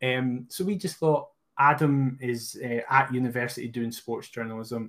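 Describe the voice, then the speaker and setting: A man speaks in a Scottish accent. His pitch sits in the medium range. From Scotland. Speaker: podcast co-host, football fan. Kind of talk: casual chat.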